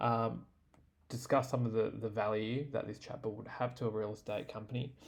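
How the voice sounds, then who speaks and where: Talking at a fairly quick pace, a man with an Australian accent keeps a medium pitch and monotone, flat intonation. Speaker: tech tutorial creator. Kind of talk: tutorial. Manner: casual, many fillers (um, uh).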